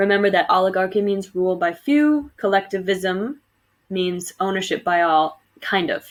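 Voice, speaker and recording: Recorded very cleanly against a silent background, a woman with a normal speaking voice talks at medium pitch and a moderate pace in an American accent, with ordinary pitch variation. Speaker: teacher. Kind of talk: recorded lecture for students. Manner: casual, with fillers.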